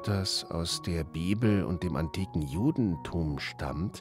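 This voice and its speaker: A man with a very deep, low pitch speaks at a very slow pace with lively intonation. Music plays in the background. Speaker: professional TV and radio speaker. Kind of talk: German pronunciation lesson. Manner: friendly, pleasant.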